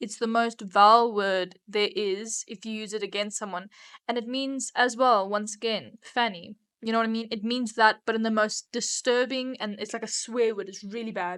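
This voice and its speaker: A woman with a South African accent speaks at a fairly high pitch and a moderate pace against a quiet background. Her intonation is fairly even, though her loudness swings widely. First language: Afrikaans. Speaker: podcast co-host. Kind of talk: casual chat.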